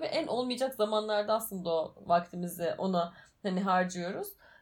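This woman has an unremarkable speaking voice, talking at a fairly quick pace with ordinary pitch variation. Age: 20s. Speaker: podcast co-host. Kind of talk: casual chat.

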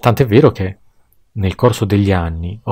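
A man speaks fairly slowly with a fairly low pitch, a dark, mellow, somewhat breathy tone and lively intonation, in a very clean recording with a silent background. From Tuscany, Pisa. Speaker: podcast guest. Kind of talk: scripted monologue.

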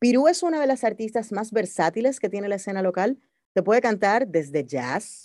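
Her fairly high voice has a dark, mellow tone and very wide pitch swings, moving at a moderate pace on a very clean recording with a silent background. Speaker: radio host and producer. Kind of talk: interview.

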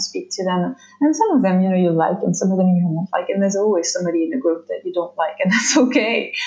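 A woman with a medium pitch, with a French accent. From France. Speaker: somatic therapist and former dancer. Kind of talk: casual interview. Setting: video call. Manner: halting.

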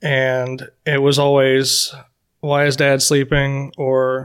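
Speaking very slowly with an American accent, a man uses a fairly high pitch and a monotone, flat intonation. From US South (Florida). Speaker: firefighter. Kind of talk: podcast interview.

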